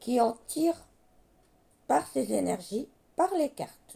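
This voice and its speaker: A woman speaks at a very slow pace. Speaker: card reader, medium. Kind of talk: tarot reading monologue.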